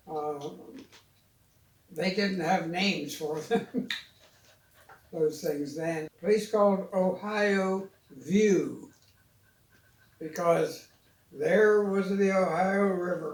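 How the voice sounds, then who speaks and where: A high-pitched man in a room with audible echo, very slow, with long, frequent pauses and ordinary pitch variation. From US, western Pennsylvania (near Midland). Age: 90s. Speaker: elder telling childhood memories. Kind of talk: casual family conversation, reminiscing. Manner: halting.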